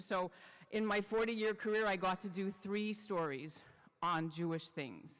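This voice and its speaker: With a Canadian accent, a woman with an unremarkable speaking voice talks at a moderate pace with ordinary pitch variation. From Canada, Montreal. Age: 60s. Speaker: journalist and podcast host. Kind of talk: talk to a congregation. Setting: synagogue. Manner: chatty, conversational.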